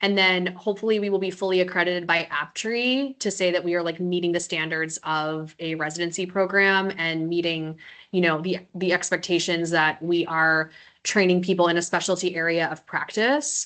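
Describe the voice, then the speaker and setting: Loud and bright with a sharp tone, this voice moves at a moderate pace with fairly even intonation against a quiet background. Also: woman, fairly low pitch for a woman. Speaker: residency program director. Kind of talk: Q&A webinar info.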